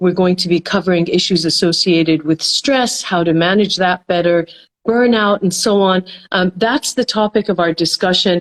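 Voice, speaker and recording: A woman with an American accent and an unremarkable speaking voice, medium pitch with ordinary pitch variation, very even loudness and a moderate pace, in a dry, close sound with no echo. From North America (US and Canada), Iranian heritage. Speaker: psychology professor and consultant. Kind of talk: interview. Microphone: good connection.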